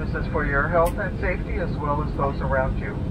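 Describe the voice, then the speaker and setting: A man speaks fairly quickly while loud background noise fills the recording. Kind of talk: cabin announcement. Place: plane.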